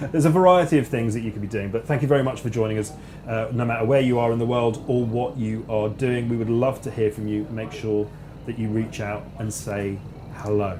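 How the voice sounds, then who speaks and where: A man with a southern English accent speaks at a fairly quick pace and a medium pitch. His pitch varies in an ordinary way, with noticeable background noise behind him. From southern England. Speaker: motorsport commentator. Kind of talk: live commentary.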